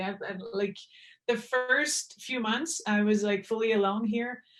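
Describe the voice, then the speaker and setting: The woman speaks at a fairly high pitch in a Quebec accent. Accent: French Quebecois. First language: French. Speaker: professional hockey player. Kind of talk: podcast interview.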